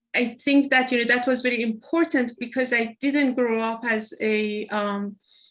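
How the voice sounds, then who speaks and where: Her pace is fairly slow as a woman speaks with fairly even intonation. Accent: Persian. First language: Persian. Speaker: hospital innovation executive. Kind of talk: interview. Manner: halting, many fillers.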